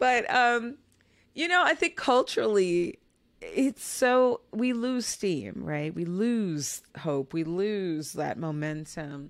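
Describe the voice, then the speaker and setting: A woman speaks with an American accent in an animated tone. Her pitch swings very widely. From Chicago. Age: 40s. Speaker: podcast host and lifestyle editor. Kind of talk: interview.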